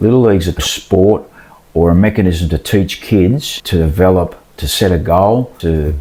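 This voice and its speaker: A man's very deep, low voice in a dark, mellow tone with an Australian accent. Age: 60s. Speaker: baseball umpire. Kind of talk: casual interview.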